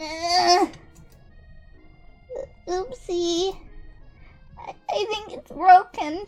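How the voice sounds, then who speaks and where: In a put-on character voice with a nervous tone, the speaker goes very slowly with long, frequent pauses while faint music plays in the background. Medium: role play. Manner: stammering, nervous.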